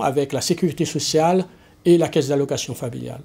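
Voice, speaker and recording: A man speaks in a dark, mellow tone. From Guadeloupe, Pointe-à-Pitre. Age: 60s. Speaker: local politician, municipal candidate. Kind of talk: campaign speech. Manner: formal.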